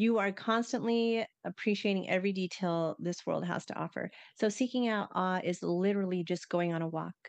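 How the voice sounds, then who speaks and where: A woman speaks in an ordinary speaking voice at medium pitch and a moderate pace, with hardly any pauses. The sound is dry and close with no echo against a quiet background. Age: 50s. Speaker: podcast co-host. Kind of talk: casual chat.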